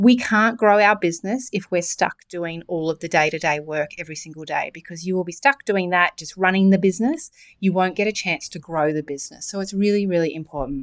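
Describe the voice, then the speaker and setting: A woman at medium pitch talks at a fairly quick clip with hardly any pauses, her loudness swinging widely and her pitch varying in an ordinary way, on a very clean recording with a silent background. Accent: Australian. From Australia, New South Wales. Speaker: podcast host and e-commerce mentor. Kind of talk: solo podcast talk.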